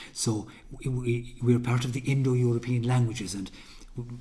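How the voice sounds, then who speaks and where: A man at medium pitch speaks at a moderate pace in a dark, mellow tone that is somewhat breathy. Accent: west of Ireland. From Ireland, County Mayo. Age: 60s. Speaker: folk musician. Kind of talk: interview. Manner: halting.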